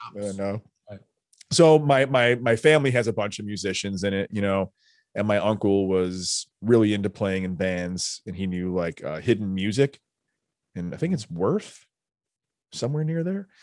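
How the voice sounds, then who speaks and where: With an American accent and an ordinary speaking voice, a man speaks at a fairly low pitch and moderate pace with lively intonation against a quiet background. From Chicago south suburbs. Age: 40s. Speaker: musician and music teacher. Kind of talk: casual chat.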